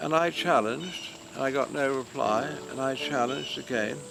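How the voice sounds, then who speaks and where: With music in the background and audible room echo, a man in a southern British accent speaks at a moderate pace. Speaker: war veteran. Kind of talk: oral history interview. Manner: halting.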